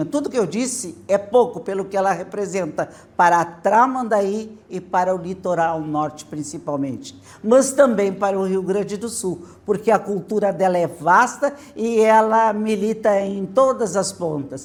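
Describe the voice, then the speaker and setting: A woman with an unremarkable speaking voice talks at a fairly slow pace and medium pitch, with ordinary pitch variation. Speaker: teacher. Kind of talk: testimonial tribute.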